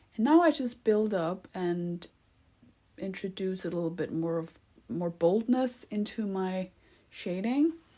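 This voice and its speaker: A woman's medium-pitched voice unfolds at a fairly slow pace. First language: not English. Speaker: art tutorial creator. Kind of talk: tutorial. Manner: hesitant, many fillers; casual, conversational.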